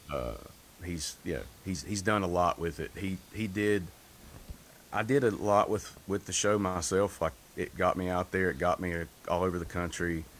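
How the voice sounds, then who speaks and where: A man speaks with a Southern US accent in a very deep, low voice. He leaves long, frequent pauses. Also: moderate pace. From North Carolina. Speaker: singer. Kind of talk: interview. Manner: monotone.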